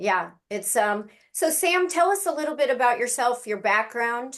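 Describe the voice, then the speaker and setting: At a moderate pace, a woman with a high pitch sounds animated, with lively intonation. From US East Coast. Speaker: naturopathic doctor and host. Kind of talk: interview.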